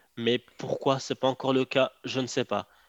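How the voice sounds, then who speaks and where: A man talks at a fairly slow pace in a medium pitch. The background is quiet. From Morocco. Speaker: online entrepreneur. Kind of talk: casual interview chat. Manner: hesitant, with fillers and repetitions.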